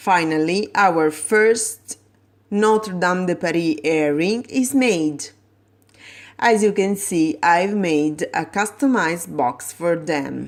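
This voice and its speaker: At a very slow pace, a woman with a fairly low pitch speaks with lively intonation. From Italy. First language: Italian. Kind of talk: tutorial.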